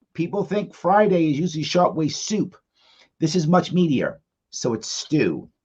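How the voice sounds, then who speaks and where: Someone with an American accent speaks at a moderate pace in an animated tone, with vocal fry. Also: man. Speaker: live show host. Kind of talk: casual chat.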